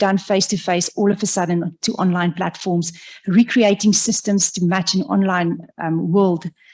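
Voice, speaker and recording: A woman at medium pitch with a dark, mellow tone, somewhat breathy, at a moderate pace with fairly even intonation. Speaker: professor. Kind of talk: lecture. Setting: lecture hall with audience, also streamed online. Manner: halting, with fillers and self-corrections.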